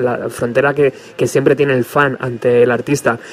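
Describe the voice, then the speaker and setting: A man speaking over noticeable background noise. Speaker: radio host. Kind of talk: radio show with interviews.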